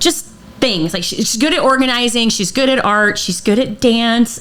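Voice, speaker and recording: Noticeable background noise runs under speech that moves fairly quickly, its pitch varying in an ordinary way. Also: woman. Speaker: podcast host and personal trainer. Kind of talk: casual chat. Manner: loud.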